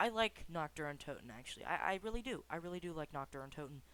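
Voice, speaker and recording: Quick-paced and lively in intonation, this man talks at a high pitch. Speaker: gaming YouTuber. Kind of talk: unscripted gaming commentary. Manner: halting, repeats words.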